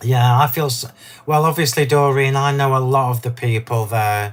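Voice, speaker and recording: A man with an English accent speaks at a fairly slow pace. His voice is somewhat breathy and monotone. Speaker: craft demonstrator. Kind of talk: live craft demo chat. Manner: casual, chatty.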